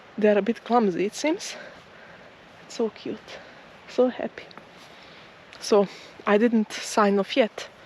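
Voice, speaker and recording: Amid noticeable background noise, a woman speaks with long, frequent pauses, big swings in loudness and ordinary pitch variation. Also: fairly high pitch for a woman, fairly slow pace. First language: not English. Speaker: nature vlogger. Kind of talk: walking vlog narration. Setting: outdoors. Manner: slow-paced; halting.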